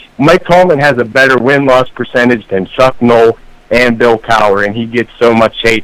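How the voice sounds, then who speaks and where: Medium pitch from a man with a Pittsburgh accent. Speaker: caller. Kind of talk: sports call-in opinion. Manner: animated.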